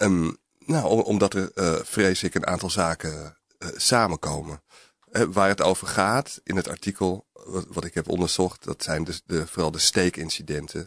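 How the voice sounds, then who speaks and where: A man with a very deep, low voice speaks with ordinary pitch variation at a moderate pace. The sound is dry and close with no echo, over a quiet background. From North Holland, near Alkmaar. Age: 40s. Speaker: journalist. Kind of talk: interview. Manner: halting, many hesitations.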